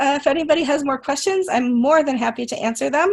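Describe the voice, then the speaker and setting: A woman talks at a fairly quick pace. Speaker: community manager and conference speaker. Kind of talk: webinar presentation Q&A. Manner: fast.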